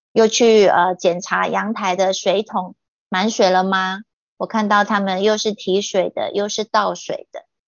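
A woman's medium-pitched, monotone, flat delivery at a fairly slow pace. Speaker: guest sharing life story. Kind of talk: testimony read from written notes.

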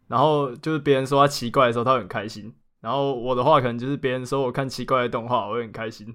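A man's very fast speech at a medium pitch with fairly even intonation, on a very clean recording with a silent background. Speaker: anime podcast co-host. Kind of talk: casual chat.

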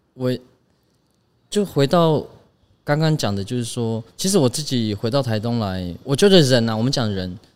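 Over a silent background in a very clean recording, a medium-pitched man talks with lively intonation and long, frequent pauses. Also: moderate pace. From Taiwan, Taitung (Paiwan village). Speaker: designer. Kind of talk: casual chat. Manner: halting.

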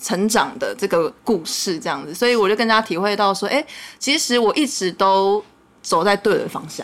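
A woman's medium-pitched voice, a normal speaking voice, at a moderate pace with ordinary pitch variation. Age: 20s. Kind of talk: casual chat.

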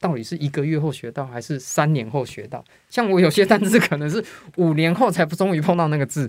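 Fairly quick speech from a man with a fairly high pitch, lively intonation and an ordinary speaking voice. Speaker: English teacher, formerly in tech industry. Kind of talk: interview.

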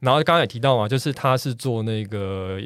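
A man with a plain, everyday voice, fairly low in pitch with ordinary pitch variation, talks at a fairly quick pace on a very clean recording with a silent background. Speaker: architect, podcast guest. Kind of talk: casual chat.

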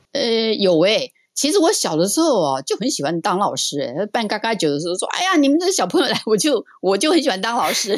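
This woman talks at a very fast pace with hardly any pauses, her fairly high voice making very wide pitch swings. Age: old. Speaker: retired high school English teacher. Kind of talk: casual interview.

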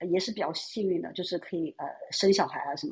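A woman talks very fast in a somewhat breathy voice with a dark, mellow tone. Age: 30s. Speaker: caller. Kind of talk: casual chat.

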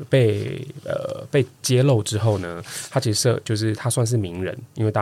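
The speaker is a man. His pitch is fairly low, with ordinary variation. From Taiwan, Kaohsiung. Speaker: guest co-host, podcaster. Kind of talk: casual chat. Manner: animated, laughing often.

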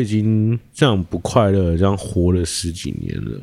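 In a very clean recording with a silent background, a man talks at a fairly slow pace in a dark, mellow tone. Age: 30s. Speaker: podcast host. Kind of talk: casual chat. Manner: halting.

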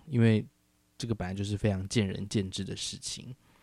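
A man's fairly low-pitched voice, dark and mellow in tone, on a very clean recording with a silent background. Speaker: podcast host. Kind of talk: casual solo podcast chat. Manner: relaxed, unhurried.

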